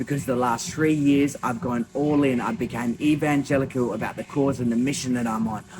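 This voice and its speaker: An animated man with an Australian accent talks at a medium pitch and a fairly quick pace, with hardly any pauses and ordinary pitch variation. Music plays in the background. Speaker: small business owner and vlogger. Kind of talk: motivational talk to camera. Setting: gym at night. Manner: animated, emphatic.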